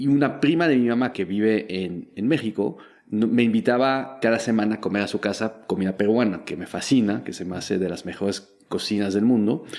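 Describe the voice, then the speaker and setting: With hardly any pauses, a man speaks at a fairly quick pace and fairly low pitch with lively intonation, in a very clean recording with a silent background. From Belgium. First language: French (speaking Spanish). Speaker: startup founder and investor. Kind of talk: interview.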